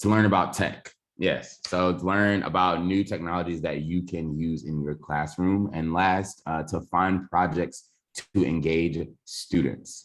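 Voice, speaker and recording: Against a quiet background, a man speaks at a fairly slow pace with a very deep, low pitch and fairly even intonation. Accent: Southern US. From US South, Georgia. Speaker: education technology trainer, former teacher. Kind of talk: online workshop presentation.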